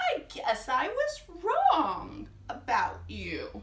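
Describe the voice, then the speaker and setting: In a put-on character voice, a woman speaks at an extremely high pitch and a very slow pace. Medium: read story. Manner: gentle, kind.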